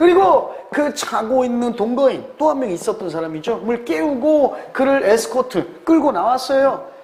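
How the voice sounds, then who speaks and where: A man's extremely high voice at a fairly slow pace with very wide pitch swings, amid noticeable background noise and audible room echo. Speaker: English exam tutor. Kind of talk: lecture.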